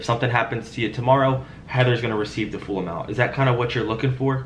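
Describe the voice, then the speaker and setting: A man speaks at a very fast pace with fairly even intonation over light background noise. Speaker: insurance sales agent. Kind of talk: sales phone call. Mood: friendly, reassuring, persuasive. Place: home room. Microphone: headset.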